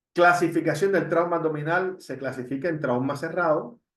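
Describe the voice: A man speaks at a moderate pace in a fairly high voice, with ordinary pitch variation.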